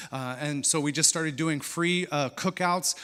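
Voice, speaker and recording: Here a man with an American accent speaks in a fairly high voice with a bright, sharp tone. His intonation is fairly even and his pace moderate. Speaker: missionary. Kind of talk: church presentation with slides. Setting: church service. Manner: hesitant, many fillers.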